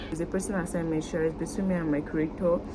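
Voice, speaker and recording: This voice has a Nigerian accent, with noticeable background noise and audible room echo. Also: woman. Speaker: YouTuber. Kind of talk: vlog to camera. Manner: fast.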